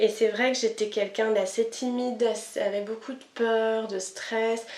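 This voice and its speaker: A woman speaks at a moderate pace with a fairly high pitch. Room echo is audible. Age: 30s. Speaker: kinesiology practitioner. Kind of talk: interview. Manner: hesitant, many fillers.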